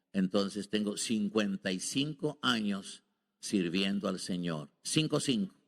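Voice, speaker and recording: A man with a fairly low pitch speaks very slowly, his intonation lively. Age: 70s. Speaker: visiting preacher. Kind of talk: sermon. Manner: halting.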